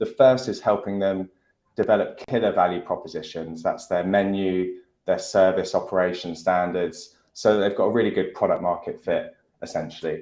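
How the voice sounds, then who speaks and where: Quiet background behind a man talking at a moderate pace. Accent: British. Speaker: restaurant tech CEO. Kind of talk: panel discussion.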